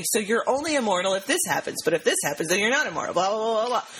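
Her pitch is fairly high, and this woman talks at a very fast pace with lively intonation. Noticeable background noise is present. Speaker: podcast co-host. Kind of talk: casual chat.

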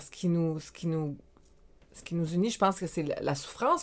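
A woman with an unremarkable speaking voice talks at a moderate pace, her pitch fairly low. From Quebec, Montreal South Shore. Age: 40s. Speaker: life coach. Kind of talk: casual interview.

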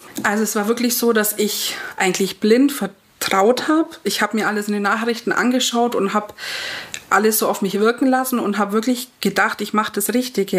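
A woman with a fairly high pitch talks at a moderate pace and ordinary pitch variation, with noticeable background noise. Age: 30s. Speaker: vaccine injury patient telling her story. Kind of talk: personal testimony.

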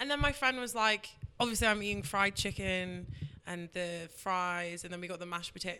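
Recorded very cleanly against a silent background, a woman with a London accent speaks at a moderate pace in a bright, sharp tone with ordinary pitch variation. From London, England. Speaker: radio host. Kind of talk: casual chat. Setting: radio show.

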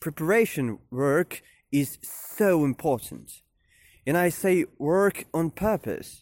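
A man with a fairly high pitch speaks at a very slow pace with lively intonation and very even loudness. The sound is dry and close with no echo, in a very clean recording with a silent background. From Ukraine, Kyiv. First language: Ukrainian and Russian. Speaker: podcast host. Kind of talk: personal monologue podcast. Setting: outdoors, walking to office. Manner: hesitant, many fillers.

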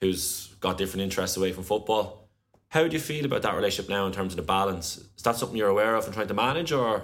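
Someone with an Irish accent talks at a very fast pace with lively intonation. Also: man, fairly low pitch for a man. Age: 20s. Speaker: podcast host. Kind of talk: interview.

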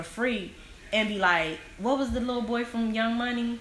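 Audible room echo and noticeable background noise surround a woman's voice. She speaks at a moderate pace with a fairly high pitch. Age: 20s. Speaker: guest, social media personality. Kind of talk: casual chat.

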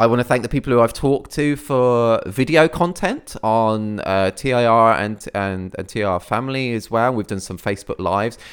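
A man with a Midlands accent talks with hardly any pauses and ordinary pitch variation. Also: medium pitch for a man, moderate pace. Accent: Midlands, e.g. says year that way. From English Midlands, near Birmingham. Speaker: photographer and podcast host. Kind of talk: solo podcast monologue. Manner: hesitant, many fillers.

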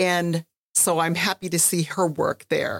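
Recorded with a dry, close sound and no echo, a woman with an American accent speaks at a fairly low pitch with vocal fry. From Minnesota, Red Lake. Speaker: history professor. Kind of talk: interview conversation.

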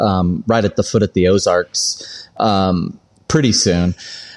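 Fairly low in pitch, this man has an unremarkable speaking voice and fairly even intonation. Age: 40s. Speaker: former butcher shop owner and cook. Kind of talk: casual interview chat.

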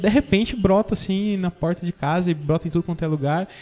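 This is a normal speaking voice from a man. He moves at a fairly quick pace with ordinary pitch variation. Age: 30s. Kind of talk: casual chat.

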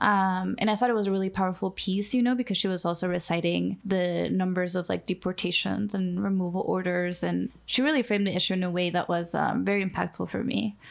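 A woman at a medium pitch with a Spanish accent, very fast with hardly any pauses, fairly even intonation and very even loudness. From Mexico (Mexico City, Acapulco), moved to US at fifteen. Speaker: nonprofit immigration worker and podcast co-host. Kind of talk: casual chat.

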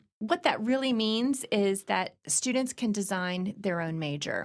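On a very clean recording with a silent background, a woman with an American accent and a normal speaking voice talks at medium pitch with lively intonation. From Virginia, US. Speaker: university dean. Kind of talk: interview.

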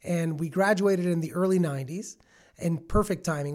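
In a plain, everyday voice, a man speaks fairly quickly at a fairly high pitch with ordinary pitch variation, in a very clean recording with a silent background. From Toronto area, Canada (Milton). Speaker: finance entrepreneur. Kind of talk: interview.

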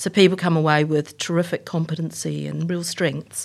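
A woman's very deep, low voice in a New Zealand accent, recorded very cleanly against a silent background. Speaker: tech company executive. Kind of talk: interview.

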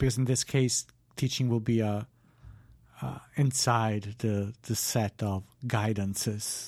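Speaking at a very slow pace with fairly even intonation, a man leaves long, frequent pauses. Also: medium pitch for a man. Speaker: philosophy podcast co-host. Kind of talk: casual chat. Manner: halting.

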